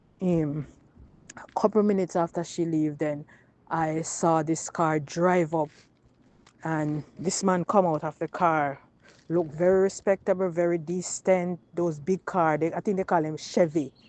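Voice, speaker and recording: A woman with a Jamaican accent speaks at a fairly slow pace in a fairly low voice with fairly even intonation. The sound is dry and close with no echo, and the background is quiet. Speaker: woman telling her personal experience. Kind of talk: personal testimony, storytelling.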